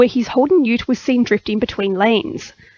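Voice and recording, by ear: This woman's fairly high voice comes across dry and close, with no echo.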